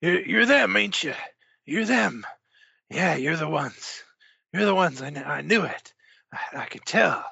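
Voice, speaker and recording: A raspy man with a high pitch talks at a fairly slow pace, his pitch swinging very widely between long, frequent pauses. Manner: agitated, repetitive, ranting.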